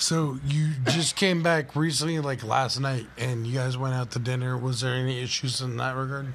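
An unremarkable speaking voice from a man at a medium pitch comes at a moderate pace with fairly even intonation. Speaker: podcast host. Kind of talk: casual chat. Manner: profane, joking.

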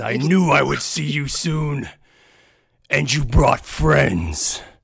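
In a put-on character voice, someone speaks very slowly with a raspy sound. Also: man, medium pitch for a man.

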